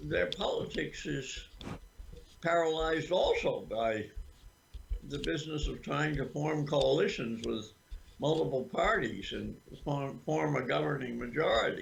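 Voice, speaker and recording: In a room with audible echo, a man speaks at a fairly slow pace with long, frequent pauses. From Vermont. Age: 80s+. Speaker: political activist. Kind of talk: interview. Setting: livestream interview. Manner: halting.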